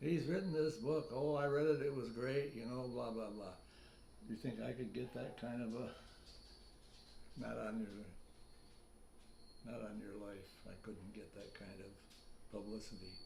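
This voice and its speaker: A man with an American accent speaks at a moderate pace in a medium pitch, with a dark, mellow tone, vocal fry, and ordinary pitch variation. His loudness swings widely, long pauses come often, and the room echo is audible. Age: 90s. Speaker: author. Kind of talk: casual interview chat.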